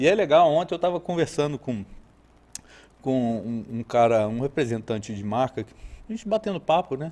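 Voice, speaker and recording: A man with a Rio de Janeiro accent speaks at a moderate pace in a dark, mellow tone and fairly high pitch, with very wide pitch swings, big swings in loudness, and long, frequent pauses. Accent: carioca. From Rio de Janeiro state, Brazil (Araruama, Lakes Region). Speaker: horse trainer. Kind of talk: podcast interview.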